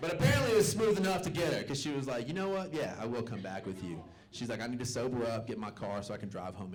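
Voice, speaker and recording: At a very fast pace, a man talks at a medium pitch with very wide pitch swings amid audible room echo. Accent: American. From US South, Little Rock, Arkansas. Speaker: stand-up comedian, military servicemember. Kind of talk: stand-up. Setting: stage with audience.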